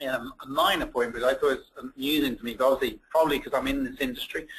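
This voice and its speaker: Words rush out very fast from a man with an English accent. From England. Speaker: translation industry professional. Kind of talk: webinar discussion. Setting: webinar.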